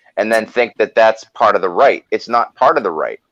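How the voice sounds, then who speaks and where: A man with a Boston accent is heard in a dry, close sound with no echo. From US Northeast, Boston. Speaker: political activist. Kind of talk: casual chat.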